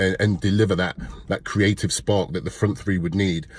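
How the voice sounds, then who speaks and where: A man's very deep, low voice with an East Midlands accent at a fairly quick pace, on a very clean recording with a silent background. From Leicester, England. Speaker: football fan commentator. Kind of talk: casual match review to camera.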